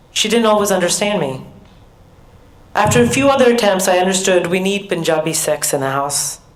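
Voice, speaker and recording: A fairly low-pitched woman with an American accent and ordinary pitch variation, at a moderate pace, with audible room echo and noticeable background noise. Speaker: professor. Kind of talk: keynote speech.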